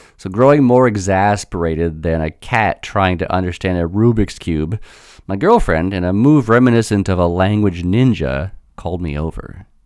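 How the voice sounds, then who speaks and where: With a very deep, low pitch, a man speaks using ordinary pitch variation. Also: moderate pace. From United States. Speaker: language teacher and podcast host. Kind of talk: storytelling monologue. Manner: animated.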